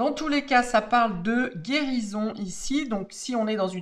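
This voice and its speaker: The voice moves at a very slow pace, with very wide pitch swings. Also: woman. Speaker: tarot card reader. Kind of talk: tarot reading monologue. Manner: hesitant, many fillers.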